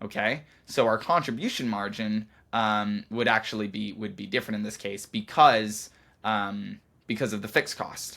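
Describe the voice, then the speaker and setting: With a bright, sharp tone and ordinary pitch variation, the voice comes through in a very clean recording over a silent background. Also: man. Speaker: consulting interview coach. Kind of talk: lecture. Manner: halting, many fillers.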